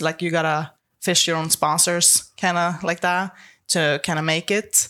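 A woman speaks with a Swedish accent. Her pitch is fairly low. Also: very clean recording, silent background. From Sweden, Stockholm. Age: 20s. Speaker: professional arm wrestler. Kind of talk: casual interview.

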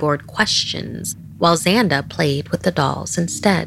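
A woman's very deep, low-pitched voice in a dramatic, theatrical tone, with ordinary pitch variation over noticeable background noise. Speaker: horror podcast host. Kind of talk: horror story narration. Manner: hushed, suspenseful, dramatic pacing; ominous, theatrical, building tension.

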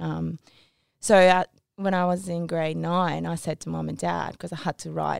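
In a Japanese accent, a woman speaks at a moderate pace on a very clean recording with a silent background and a dry, close sound with no echo. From Tokyo, Japan. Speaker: guest telling her story, sportswoman.

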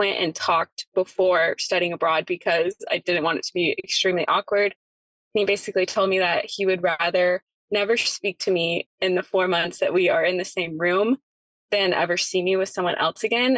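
A woman with an ordinary speaking voice talks at a moderate pace and medium pitch, keeping a very even loudness, in a dry, close sound with no echo. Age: 20s. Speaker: caller, grad student. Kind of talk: phone-in advice call.

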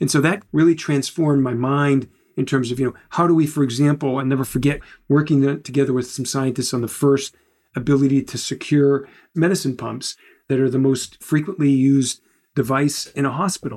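A man's plain, everyday voice, fairly high in pitch, with fairly even intonation. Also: fairly quick pace. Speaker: corporate chief technology officer. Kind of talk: interview.

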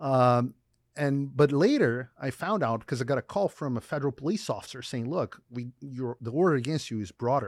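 On a very clean, dry, close recording with a silent background and no echo, a man with a Portuguese accent speaks at a moderate pace in a medium pitch with ordinary pitch variation. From Brazil. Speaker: journalist. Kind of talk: interview. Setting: studio.

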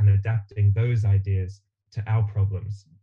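A man with an Australian accent speaks at a moderate pace, his fairly low voice somewhat breathy and dark, mellow in tone. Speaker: builder and teacher. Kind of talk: interview.

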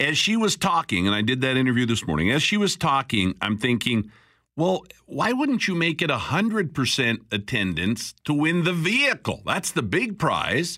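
In a very clean recording with a silent background, a man's fairly high, bright, sharp voice swings very widely in pitch, holds a very even loudness, and shows vocal fry. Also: moderate pace. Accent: Canadian. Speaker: radio talk show host. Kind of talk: talk radio. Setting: studio. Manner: conversational.

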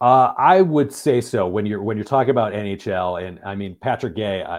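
A man talks in an ordinary speaking voice at a moderate pace. His pitch is fairly low, with ordinary pitch variation. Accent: American. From Michigan. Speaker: hockey reporter and podcast co-host. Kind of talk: casual sports discussion.

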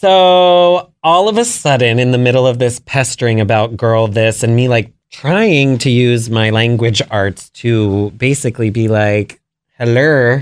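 In an American accent, a plain, everyday voice speaks at a fairly slow pace with ordinary pitch variation, very even loudness and hardly any pauses, on a very clean recording with a silent background. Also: man, medium pitch for a man. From Maryland, US. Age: 30s. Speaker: business founder. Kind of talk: interview.

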